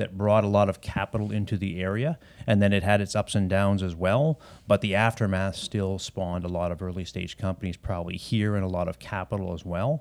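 A man with a Canadian accent and an unremarkable speaking voice, fairly low in pitch, fairly even in intonation, at a fairly quick pace. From Canada, Ontario. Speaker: former tech company CEO. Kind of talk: interview.

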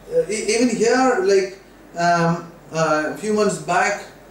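This man's voice varies in pitch in an ordinary way, with audible room echo and noticeable background noise around it. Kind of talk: casual chat.

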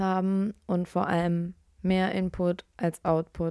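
This very clean recording has a silent background and a dry, close sound with no echo. A woman speaks in a flat monotone at a medium pitch with a dark, mellow tone. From Lower Saxony, Braunschweig. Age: 20s. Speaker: podcast co-host. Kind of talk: casual chat.

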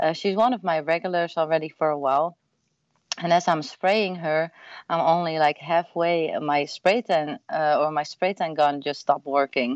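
A woman's fairly low-pitched voice with a Dutch accent, at a moderate pace and with ordinary pitch variation. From Netherlands. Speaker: mobile spray tanning business owner. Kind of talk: interview.

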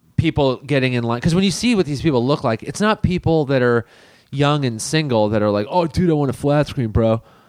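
A plain, everyday voice with an American accent, lively intonation and a fairly quick pace, in a dry, close sound with no echo. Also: man, fairly high pitch for a man. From Los Angeles, US. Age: 30s. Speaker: comedian. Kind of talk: casual chat.

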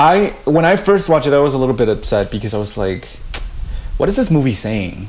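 Over noticeable background noise, a man talks very fast at a fairly high pitch, with very wide pitch swings. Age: 30s. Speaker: podcast co-host. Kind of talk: casual conversation.

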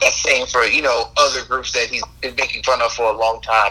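Noticeable background noise sits behind this recording. A man with an American accent speaks at a fairly quick pace. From US South. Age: 20s. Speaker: podcast guest, friend of host. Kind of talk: casual chat.

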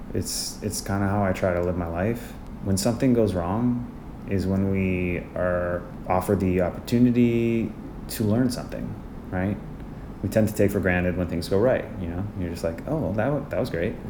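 A man's fairly low voice at a moderate pace, with ordinary pitch variation and audible room echo. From Canada, Winnipeg. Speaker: Broadway ensemble dancer and actor. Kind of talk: casual interview.

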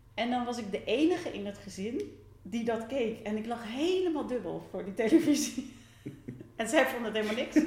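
With a fairly high pitch, lively intonation and a fairly quick pace, a woman talks amid audible room echo and noticeable background noise. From Netherlands, near Rotterdam. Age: 40s. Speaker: theatre maker. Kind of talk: interview. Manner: halting.

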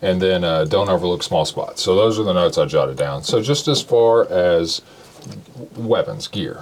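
A man's fairly low voice with lively intonation over noticeable background noise. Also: moderate pace. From Kentucky, Shelby County. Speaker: podcast host. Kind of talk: casual chat.

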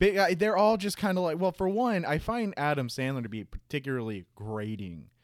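A man in an American accent at a fairly quick pace, with very wide pitch swings and hardly any pauses, on a very clean recording with a silent background. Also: fairly high pitch for a man. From Jacksonville, Florida. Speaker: podcast co-host. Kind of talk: casual chat.

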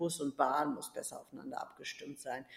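A woman at a fairly quick pace with fairly even intonation. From rural Germany. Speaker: politician. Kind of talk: interview.

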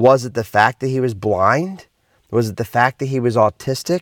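A man with a normal speaking voice at a medium pitch and moderate pace, dry and close with no echo, on a very clean recording with a silent background. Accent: American. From US Northeast, Philadelphia. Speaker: motivational speaker and podcast host. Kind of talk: motivational monologue.

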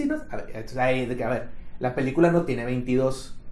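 A man speaks at a fairly slow pace with very wide pitch swings, over noticeable background noise and audible room echo. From Mexico, Monterrey. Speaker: podcast co-host. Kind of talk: casual chat.

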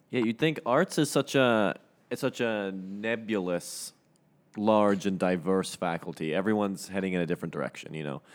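Speaking in a normal speaking voice, a man with a fairly low pitch and lively intonation talks at a moderate pace on a very clean recording with a silent background. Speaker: student podcast co-host. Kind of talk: casual chat.

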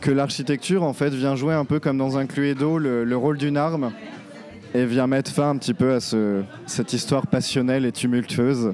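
Crowd noise in the background behind a man at a medium pitch, with fairly even intonation. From France, Nantes. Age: 20s. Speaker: illustrator. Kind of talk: interview. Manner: halting, many fillers.

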